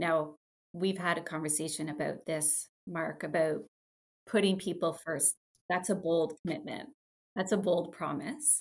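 In a normal speaking voice, a woman talks at a fairly slow pace, her pitch fairly low with ordinary variation. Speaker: podcast host. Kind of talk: casual interview chat.

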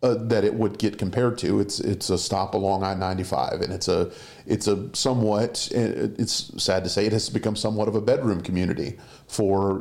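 This man has a Southern US accent and a fairly low pitch. He talks at a fairly quick pace with fairly even intonation. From Colleton County, South Carolina. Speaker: executive producer and journalist. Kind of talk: casual recap discussion.

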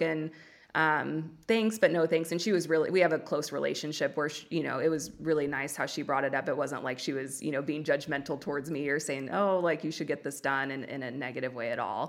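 On a very clean recording with a silent background, a woman speaks with a Californian accent. Her voice is very deep and low. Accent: Californian Valley Girl. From US West Coast. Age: 20s. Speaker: podcaster sharing weight loss story. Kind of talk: casual interview. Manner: talkative, drawn-out speech.

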